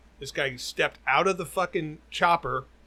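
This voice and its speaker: Very clean with a silent background, this recording features a man at a fairly high pitch. His tone is animated, bright and sharp, at a moderate pace. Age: 60s. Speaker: podcast co-host. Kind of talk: casual chat.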